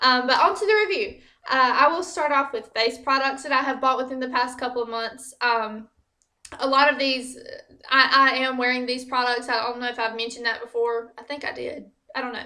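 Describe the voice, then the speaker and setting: A woman's raised, projected voice, high in pitch and bright and sharp in tone, at a fairly quick pace with ordinary pitch variation. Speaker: beauty vlogger. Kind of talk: product review vlog. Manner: casual with fillers.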